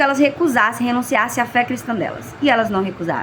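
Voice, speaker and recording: There is noticeable background noise. Over it, a woman speaks with lively intonation at a fairly high pitch. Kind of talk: religious reflection. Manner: slurred at times.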